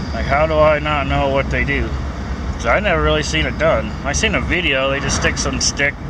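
A man speaks in a dry sound with no echo. Loud background noise is present. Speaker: truck driver vlogger. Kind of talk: casual vlog chat. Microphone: phone near.

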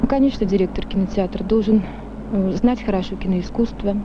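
There is light background noise as a woman speaks with fairly even intonation. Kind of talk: interview answer. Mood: calm, earnest. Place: hall. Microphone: old recording.

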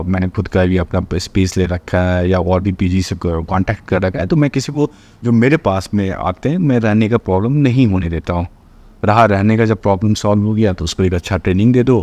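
A man's very deep, low voice, dark and mellow, at a moderate pace with ordinary pitch variation. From Bihar, India (Madhubani district); Bihar. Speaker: actor and film director; actor. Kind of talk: interview. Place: studio.

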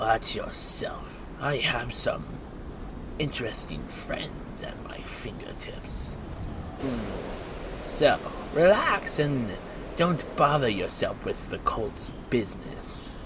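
A man talks very slowly, leaving long, frequent pauses, while loud noise fills the background. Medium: machinima. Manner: veiled threat; smug, mocking.

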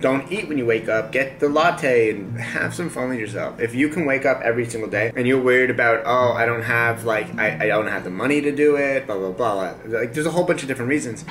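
With faint music in the background, a man rushes along at a very fast pace with hardly any pauses and ordinary pitch variation. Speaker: vlogger. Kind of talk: casual vlog chat. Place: home room. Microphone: camera far.

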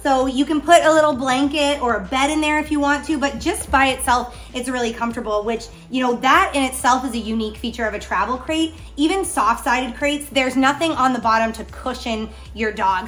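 Here a woman talks at a high pitch. She moves at a fairly quick pace. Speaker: pet product reviewer. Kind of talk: product review talk. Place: home room. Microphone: camera far.

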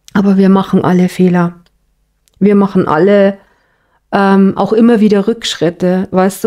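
The woman's tone is dark and mellow. She talks at a moderate pace and a medium pitch. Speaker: tarot card reader. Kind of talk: tarot reading monologue. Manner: casual, with many fillers.

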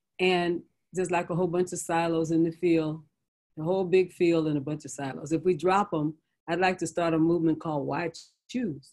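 A plain, everyday voice belongs to a woman with an American accent and a fairly low pitch. She speaks at a fairly quick pace with fairly even intonation. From US West Coast (San Francisco). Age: 60s. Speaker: bishop and pastor. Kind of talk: interview conversation.

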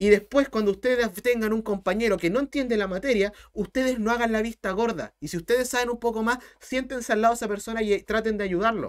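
A man with a Chilean accent speaks at a very fast pace with hardly any pauses, in a high pitch and an animated tone. The background is quiet. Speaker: math teacher. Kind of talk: live-streamed math tutorial. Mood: earnest motivational talk. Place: home room.

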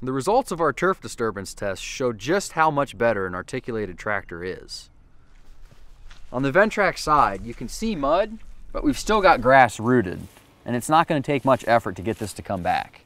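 The voice moves through very wide pitch swings at a moderate pace, in a dry sound with no echo. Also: man. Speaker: presenter. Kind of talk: product demonstration commentary. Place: garden.

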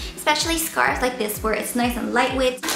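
A woman speaks in a high voice. Clear music plays behind her, and room echo is audible. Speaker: beauty vlogger. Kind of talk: casual vlog chat. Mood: playful and cheerful. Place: home room. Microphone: camera far.

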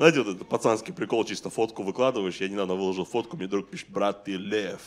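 There is light background noise behind the speaker. A man talks with ordinary pitch variation. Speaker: stand-up comedian. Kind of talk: stand-up comedy. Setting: stage with audience. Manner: animated, conversational, profanity-laced delivery with mock-outraged voices. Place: stage. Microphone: handheld.

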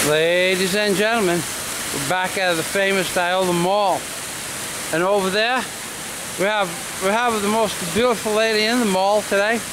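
Delivered at a fairly slow pace with fairly even intonation, the speech comes with noticeable background noise. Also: man, high pitch for a man. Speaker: vlogger narrator. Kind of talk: casual vlog talk to camera. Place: street. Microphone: phone near.

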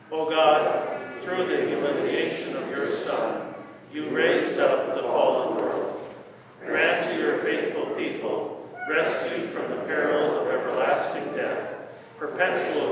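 A man speaks at a very slow pace. Audible room echo and loud background noise surround him. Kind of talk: liturgical reading. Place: church. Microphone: camera far.

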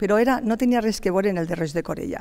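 Her intonation is lively. Only a quiet background sits behind this woman. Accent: Valencian. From Gandia, Valencian Community. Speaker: city councillor. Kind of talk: heated debate. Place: studio. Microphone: headset.

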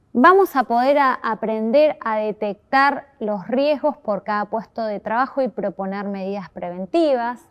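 Against a quiet background, a woman talks at a fairly slow pace in a fairly high pitch. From Argentina, Chubut province. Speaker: course instructor. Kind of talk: course presentation video. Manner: formal. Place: classroom.

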